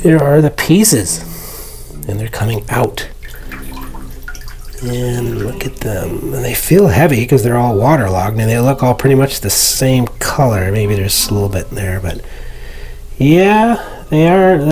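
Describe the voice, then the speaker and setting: A man with an American accent at medium pitch, very wide pitch swings and long, frequent pauses, with audible room echo and noticeable background noise. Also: fairly slow pace. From Arizona, US (Phoenix). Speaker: hobbyist video maker. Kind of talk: casual tutorial vlog. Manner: hesitant with fillers.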